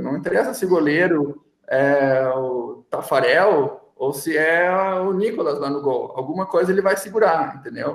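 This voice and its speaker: A man speaks with a strong gaúcho accent. His pitch is fairly high, with ordinary variation. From Rio Grande do Sul, Brazil (São Leopoldo, Porto Alegre area). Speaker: chemistry professor and researcher. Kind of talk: casual interview.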